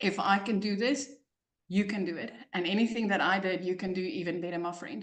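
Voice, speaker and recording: A woman with a South African accent speaks at a fairly quick pace with ordinary pitch variation. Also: medium pitch for a woman. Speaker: online business coach. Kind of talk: testimony. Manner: animated.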